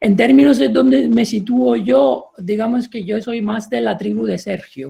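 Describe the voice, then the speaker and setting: Using an Italian accent, a man speaks at a high pitch and a fairly slow pace with very wide pitch swings. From Italy. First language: Italian (speaking Spanish). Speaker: professor. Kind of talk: panel debate. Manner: halting.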